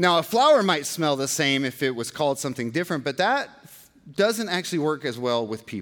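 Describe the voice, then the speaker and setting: Lively in intonation, a man with a normal speaking voice talks at a fairly quick pace and fairly high pitch, with big swings in loudness. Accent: American. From Georgia, US. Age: 40s. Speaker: pastor. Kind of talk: sermon.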